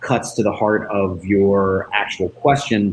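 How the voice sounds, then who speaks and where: A man with an American accent, speaking at a fairly slow pace. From United States. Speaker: school principal. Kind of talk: informational explanation. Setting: livestream.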